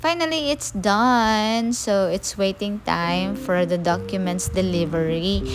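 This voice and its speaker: With music in the background, a woman speaks with hardly any pauses. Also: fairly slow pace, very even loudness. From Philippines. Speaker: overseas Filipino worker. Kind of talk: screen-recording tutorial narration.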